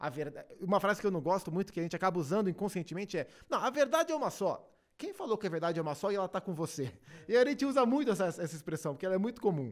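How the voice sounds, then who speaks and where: A man speaks at a very fast pace with a high pitch. The recording is very clean with a silent background. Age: 30s. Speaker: TV sports commentator. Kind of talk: casual chat.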